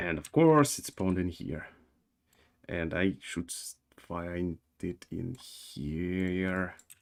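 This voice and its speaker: This man has a very deep, low voice and speaks very slowly. His pitch varies in an ordinary way while his loudness swings a lot. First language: not English. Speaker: game developer streamer. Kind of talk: live coding stream. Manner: halting, many fillers and repetitions.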